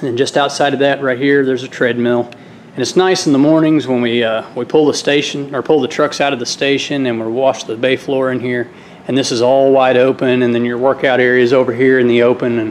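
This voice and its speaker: A man speaks at a fairly quick pace with fairly even intonation. Light background noise is present. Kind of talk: casual tour narration. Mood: relaxed, friendly. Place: gym. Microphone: phone near.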